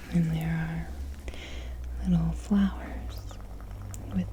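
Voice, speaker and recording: Very slow, soft-spoken whispering comes through over noticeable background noise. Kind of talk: ASMR tapping video. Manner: whispered, soft-spoken.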